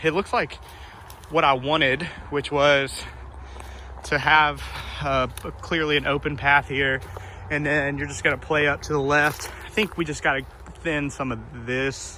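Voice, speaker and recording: Against noticeable background noise, a man with a fairly high pitch speaks at a fairly slow pace, with fairly even intonation and long, frequent pauses. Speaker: disc golfer showing a new course. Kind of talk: casual walkthrough vlog. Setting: outdoors in the woods.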